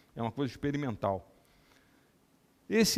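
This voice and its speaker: A man speaks with very wide swings in pitch. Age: 60s. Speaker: neurosurgeon and scientist giving a talk. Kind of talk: lecture.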